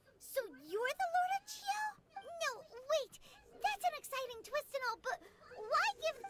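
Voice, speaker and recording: In a put-on character voice at an extremely high pitch, the speaker keeps a moderate pace broken by long, frequent pauses. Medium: video game. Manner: excitable, chatty.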